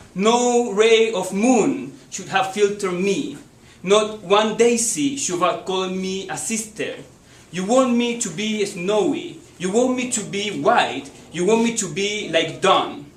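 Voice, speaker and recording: A man with a high voice speaks at a very slow pace with ordinary pitch variation, amid noticeable background noise and audible room echo. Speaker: poetry reader. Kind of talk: reading aloud.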